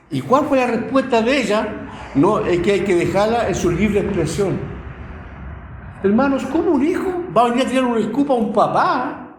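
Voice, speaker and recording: A man speaks at a high pitch with very wide pitch swings. Audible room echo and noticeable background noise surround him. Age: 60s. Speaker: lay preacher. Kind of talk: sermon.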